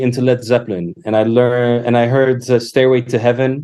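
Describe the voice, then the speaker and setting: A man talks at a moderate pace and a medium pitch. His tone is dark and mellow. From Poland, childhood partly in Canada. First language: Polish. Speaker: musician and educator. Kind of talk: podcast interview. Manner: halting, many fillers.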